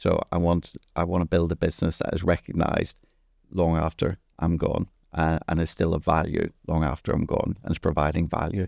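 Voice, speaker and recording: A man with an Irish accent and a very deep, low pitch speaks at a fairly quick pace, the sound dry and close with no echo. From Ireland. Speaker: entrepreneur. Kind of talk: podcast interview. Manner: halting, with repeated words.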